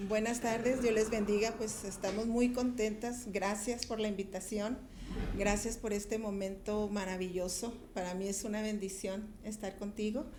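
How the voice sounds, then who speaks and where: Fairly slow speech in a monotone, flat intonation comes with audible room echo and noticeable background noise. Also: woman, fairly high pitch for a woman. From Ciudad Juárez, Mexico (border). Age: 60s. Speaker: pastor. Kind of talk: testimony.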